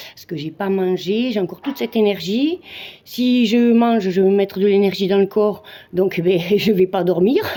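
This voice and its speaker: A woman speaks at a medium pitch, her loudness swinging widely. Her pace is moderate and her pitch varies in an ordinary way. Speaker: amateur Muay Thai fighter. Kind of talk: casual vlog monologue. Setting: gym.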